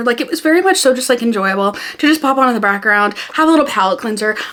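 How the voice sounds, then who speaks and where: A woman speaks at a very fast pace in an animated tone with a high pitch and very wide pitch swings. Noticeable background noise is audible. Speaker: booktuber. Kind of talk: casual book review vlog. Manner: fast when excited.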